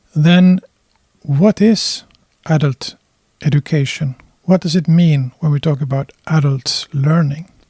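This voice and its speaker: A man with a Swedish accent speaks at a fairly slow pace with long, frequent pauses, his fairly high voice dark and mellow in tone, his intonation fairly even, and the sound dry and close with no echo. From Finland. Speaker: adult educator. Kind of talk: lecture.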